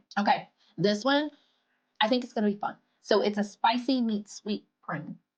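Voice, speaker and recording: A woman speaks with an American accent at a moderate pace. Her voice is somewhat breathy and fairly high, with ordinary pitch variation. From US South. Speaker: food blogger. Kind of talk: casual chat.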